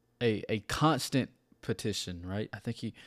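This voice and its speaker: At a fairly slow pace, a man talks in a medium pitch with ordinary pitch variation, the sound dry and close with no echo. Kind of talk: fervent prayer-like sermon, repeating the refrain 'Oh God, strengthen my hands'. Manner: impassioned, rhythmic, pleading, building intensity with repetition; casual, filler-heavy, conversational.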